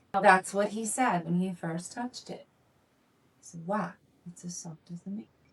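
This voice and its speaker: A woman speaks at medium pitch in a somewhat breathy voice with ordinary pitch variation. Her pace is moderate, broken by long, frequent pauses. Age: 50s. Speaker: adult film performer and podcast co-host. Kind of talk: casual chat.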